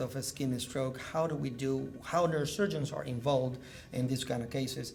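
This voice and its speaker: Over noticeable background noise and audible room echo, a man speaks at a medium pitch in a monotone, flat delivery. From Cuba. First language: Spanish. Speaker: neurosurgeon. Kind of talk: medical lecture. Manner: loud.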